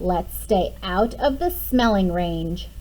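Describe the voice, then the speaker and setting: Put-on character voice at a fairly slow pace over clear background noise. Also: woman. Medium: read story.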